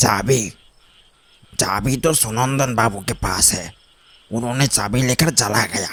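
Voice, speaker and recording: A man uses a raspy, cartoonish character voice at medium pitch. He talks at a fairly slow pace with long, frequent pauses. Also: ordinary pitch variation. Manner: calm, soft-spoken.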